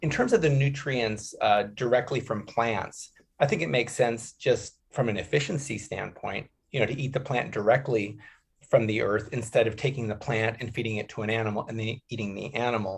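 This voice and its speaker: At a fairly quick pace, a man speaks with fairly even intonation. His voice is somewhat breathy. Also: medium pitch for a man. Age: 60s. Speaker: animal sanctuary co-founder and author. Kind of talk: podcast interview.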